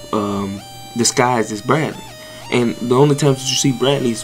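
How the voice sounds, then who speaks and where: Spoken at a moderate pace, the voice comes with music playing in the background. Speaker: anime commentary creator. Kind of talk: casual commentary.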